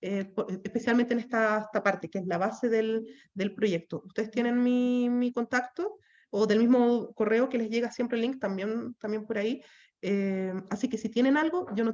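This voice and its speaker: A woman's fairly high voice with fairly even intonation, over a quiet background. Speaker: course instructor. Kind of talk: online class wrap-up. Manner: fast.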